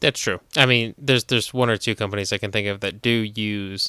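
Recorded very cleanly with a silent background and a dry, close sound with no echo, a man with an American accent speaks at a moderate pace, his fairly low voice bright and sharp in tone. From New Jersey. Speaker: podcast host, gun store worker. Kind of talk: casual chat.

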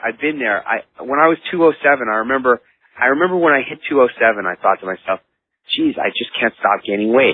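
At a moderate pace, a man with a plain, everyday voice speaks at medium pitch with lively intonation. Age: 40s. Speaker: author and motivational speaker. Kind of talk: interview.

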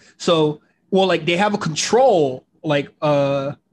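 A man's voice with ordinary pitch variation. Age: 20s. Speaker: wrestling podcast host. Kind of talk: casual chat. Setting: home recording setup.

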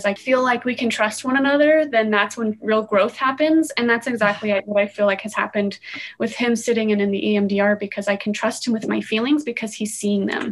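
A woman with an American accent and a fairly high pitch speaks at a fairly quick pace with hardly any pauses. Noticeable background noise is present. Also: ordinary pitch variation. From Utah. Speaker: architecture student and mother. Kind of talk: casual chat.

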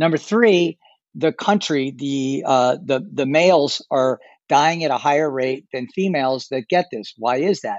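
Here is a man with a normal speaking voice and a fairly high pitch. He talks at a fairly slow pace, with ordinary pitch variation. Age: 50s. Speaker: travel industry expert. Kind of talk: interview.

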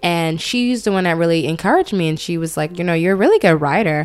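Her pace is very fast and her intonation lively. The woman has fairly low pitch and an American accent. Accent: New York with some Southern words. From Brooklyn, New York, some childhood in Atlanta. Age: 20s. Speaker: online magazine founder. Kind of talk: casual chat.

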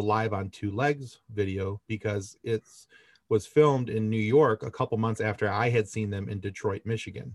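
A man with a fairly low pitch talks in an ordinary speaking voice, recorded very cleanly with a silent background and a dry, close sound with no echo. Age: 40s. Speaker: podcast host. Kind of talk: quiz hosting; casual interview.

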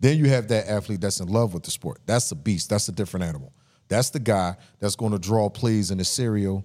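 A man speaks at a fairly quick pace, his pitch fairly low with ordinary variation. The tone is dark and mellow, on a very clean recording with a silent background. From Philadelphia. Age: 50s. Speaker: podcast co-host and youth athlete trainer. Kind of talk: casual banter, joking. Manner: blunt, profane, talkative.

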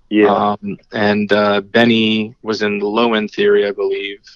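Dry and close with no echo, a man with an American accent speaks in a fairly low monotone with flat intonation. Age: 40s. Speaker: musician. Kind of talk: casual chat.

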